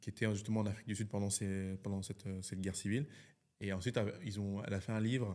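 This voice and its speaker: A man speaks at a very fast pace. His voice is fairly low, with a dark, mellow tone. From France, Lyon, Central African heritage. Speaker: film director. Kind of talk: interview. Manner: hesitant, many fillers; animated.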